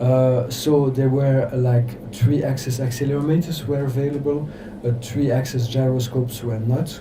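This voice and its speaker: A man with a French accent, medium pitch and monotone, flat intonation, amid noticeable background noise and audible room echo. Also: moderate pace. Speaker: electro-acoustic composer. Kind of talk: workshop lecture. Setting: workshop with audience. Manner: halting, many fillers.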